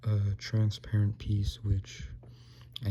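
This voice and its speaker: Quiet and somewhat breathy, a man talks at a fairly low pitch with a dark, mellow tone and ordinary pitch variation. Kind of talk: casual product review talk. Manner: quiet, low volume; hesitant, many fillers.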